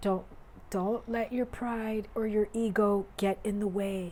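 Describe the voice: A woman speaks slowly with a raspy voice and fairly even intonation. Her tone is slightly mellow. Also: medium pitch for a woman.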